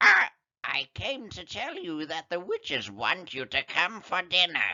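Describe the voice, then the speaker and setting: Doing a put-on character voice, a man speaks at a high pitch and a fairly slow pace. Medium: read story.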